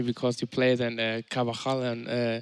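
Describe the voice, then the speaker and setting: The voice carries a German accent, recorded dry and close with no echo against a quiet background. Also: man. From Germany. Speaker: FIFA esports player. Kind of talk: casual chat. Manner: halting.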